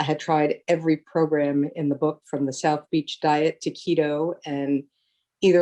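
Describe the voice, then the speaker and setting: Speaking fairly slowly, a woman with an American accent has a very deep, low pitch and a dark, mellow tone. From New Jersey. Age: 60s. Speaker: weight loss client. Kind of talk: interview.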